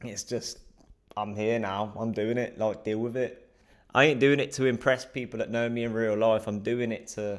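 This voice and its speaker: A man speaks with a southern English accent. His pitch sits in the medium range. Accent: British English (southern England). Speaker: vlogger practising speaking to camera. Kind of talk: casual vlog monologue. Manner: fast; frequent filler words and breaths.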